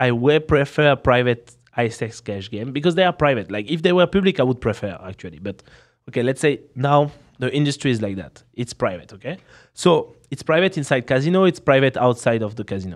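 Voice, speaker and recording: A man with a strong French accent, medium pitch and lively intonation at a fairly quick pace, over a quiet background. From France. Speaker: professional poker player and streamer. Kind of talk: casual chat. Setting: podcast in Las Vegas.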